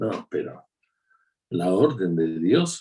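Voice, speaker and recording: This man's very deep, low voice has a dark, mellow tone and ordinary pitch variation, and he talks at a very slow pace. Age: 60s. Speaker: preacher. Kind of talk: sermon. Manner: conversational.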